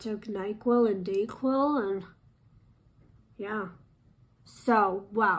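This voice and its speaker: A woman talks at a very slow pace. Her voice is fairly high, with fairly even intonation. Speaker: makeup artist. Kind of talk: makeup tutorial. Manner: casual, chatty.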